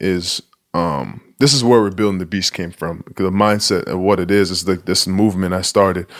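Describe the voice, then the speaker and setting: In an American accent, a man with a very deep, low pitch speaks at a moderate pace. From Nigeria. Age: 20s. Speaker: professional basketball player. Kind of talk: casual interview.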